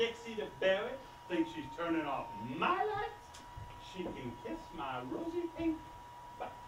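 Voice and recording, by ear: A man puts on a character voice, high-pitched and swinging very widely in pitch at a fairly slow pace. Room echo is audible.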